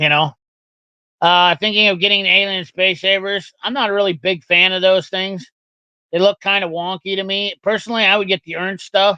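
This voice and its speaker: A man raises and projects his high-pitched voice with a bright, sharp tone, talking at a fairly quick pace with fairly even intonation in a dry, close sound that has no echo. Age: 40s. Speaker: tool reviewer streamer. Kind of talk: live stream chat reading comments. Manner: fast.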